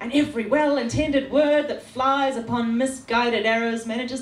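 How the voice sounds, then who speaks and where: A woman talks at a high pitch and a moderate pace, with ordinary pitch variation. Noticeable background noise runs behind her. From New Zealand. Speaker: spoken word poet. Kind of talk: slam poetry performance. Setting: live venue.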